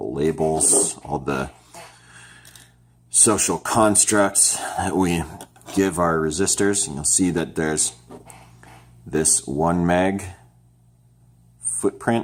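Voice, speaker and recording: A man's very deep, low voice, very slow, with long, frequent pauses and ordinary pitch variation. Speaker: DIY electronics kit maker and tutorial presenter. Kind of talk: tutorial. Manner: slow, deliberate explanation; casual with fillers and restarts.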